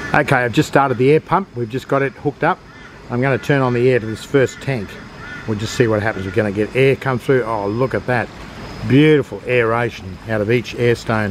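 Over light background noise, a man speaks at a fairly quick pace with ordinary pitch variation and a dry sound with no echo. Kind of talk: tutorial. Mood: pleased, enthusiastic. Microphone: phone near.

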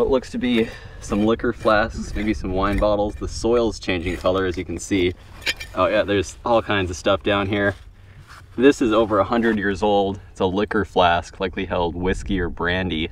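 Over light background noise, a man with a fairly low pitch and ordinary pitch variation is heard in a dry recording with no echo. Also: moderate pace. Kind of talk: casual vlog commentary. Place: open country.

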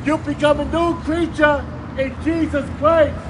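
A man speaks with an American accent at an extremely high pitch and a fairly slow pace. His intonation is monotone and flat, with noticeable background noise behind him. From East Coast, USA. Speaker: visiting street preacher. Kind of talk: open-air street preaching. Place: street. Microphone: camera far.

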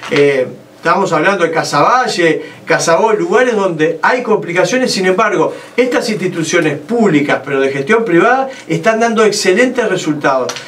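In a Uruguayan accent, a man speaks at a moderate pace and a high pitch, with lively intonation. His loudness stays very even over light background noise. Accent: Uruguayan Rioplatense Spanish. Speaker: presidential pre-candidate; politician, interview guest. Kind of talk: political interview. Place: studio.

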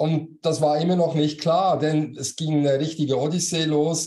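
A man with a fairly high pitch speaks at a moderate pace in a dark, mellow tone. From Switzerland. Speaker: business coach and former manager; business coach. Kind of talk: interview. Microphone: video call.

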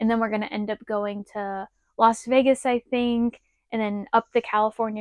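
A woman's flat monotone in a dry recording with no echo and a quiet background. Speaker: RV vlogger. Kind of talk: casual vlog chat. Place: home room. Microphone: lapel.

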